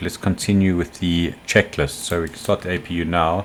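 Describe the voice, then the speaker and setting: The speaker mumbles at a moderate pace. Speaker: flight sim streamer. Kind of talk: gameplay commentary. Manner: mumbling.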